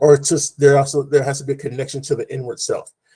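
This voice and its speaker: A man speaks in a somewhat breathy voice of medium pitch. His tone is dark and mellow. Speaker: panelist. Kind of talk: panel discussion. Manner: halting, with many fillers; preacher-like.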